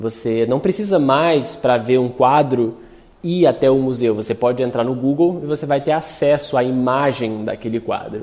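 This man has a normal speaking voice at a medium pitch. He talks at a moderate pace with ordinary pitch variation. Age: 30s. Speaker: designer and artist.

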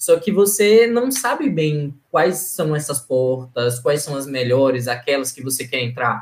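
A man's fairly high, somewhat breathy voice with lively intonation, at a fairly slow pace with hardly any pauses. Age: 30s. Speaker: NGO governance analyst, former scholarship student. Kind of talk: casual interview.

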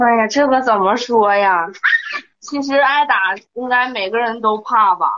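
Her pitch is fairly high for a woman. She speaks with ordinary pitch variation. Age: 20s. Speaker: caller. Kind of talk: personal account on advice call. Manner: halting.

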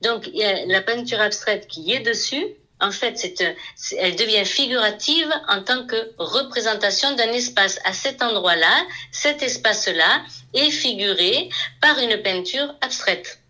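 A woman's very slow delivery with lively intonation and very even loudness. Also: fairly high pitch for a woman. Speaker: painter. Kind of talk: interview.

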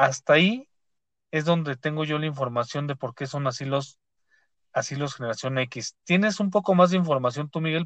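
Someone speaks in a Mexico City accent at a fairly quick pace. The sound is dry and close with no echo, against a quiet background. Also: man. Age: 30s. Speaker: podcast host. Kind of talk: casual chat. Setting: studio.

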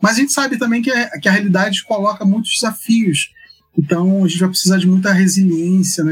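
Music plays in the background while a man talks at a high pitch, his pitch variation ordinary. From Rio de Janeiro, Brazil. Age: 50s. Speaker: anthropologist and church researcher. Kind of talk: interview conversation. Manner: hesitant, many fillers.

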